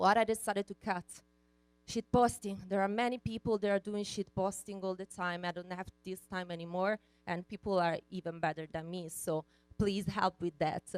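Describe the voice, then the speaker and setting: A woman in an Italian accent talks at a moderate pace and medium pitch, with fairly even intonation in a dry, close sound with no echo. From Italy. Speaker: conference speaker. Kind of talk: keynote talk. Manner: hesitant, many fillers.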